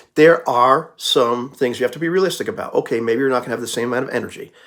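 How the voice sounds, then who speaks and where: A man's unremarkable speaking voice, medium in pitch, with lively intonation and a fairly quick pace, on a very clean recording with a silent background. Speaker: YouTuber giving life advice. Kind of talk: casual monologue. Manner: casual, conversational.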